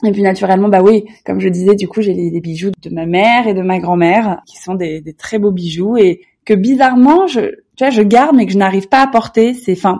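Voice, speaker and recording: The woman's voice has a dark, mellow tone and big swings in loudness. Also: medium pitch for a woman, ordinary pitch variation, moderate pace. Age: 30s. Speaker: lifestyle blogger. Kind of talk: interview. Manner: hesitant, with repetitions.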